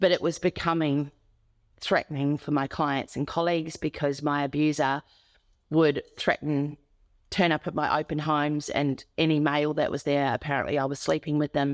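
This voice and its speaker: A woman with an Australian accent speaks at a moderate pace in a very deep, low voice and a monotone, flat intonation, with a dry, close sound with no echo and a quiet background. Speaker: domestic abuse survivor and advocate. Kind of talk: interview testimony.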